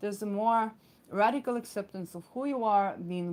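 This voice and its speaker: A woman with an Israeli accent at medium pitch, moderate pace and ordinary pitch variation. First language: Hebrew. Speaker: astrologer. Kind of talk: astrology talk. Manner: many fillers and hesitations.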